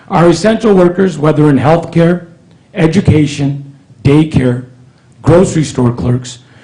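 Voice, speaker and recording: A man's fairly high voice with ordinary pitch variation and very even loudness, over noticeable background noise. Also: fairly slow pace. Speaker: county supervisor. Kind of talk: public meeting statement. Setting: board meeting with audience. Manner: reading prepared remarks.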